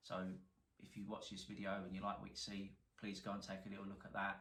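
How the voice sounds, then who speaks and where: Speaking at a very fast pace with a strong London accent, a man with a fairly low pitch is heard over audible room echo. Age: 40s. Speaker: car salvage repairer, YouTuber. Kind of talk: casual to-camera introduction.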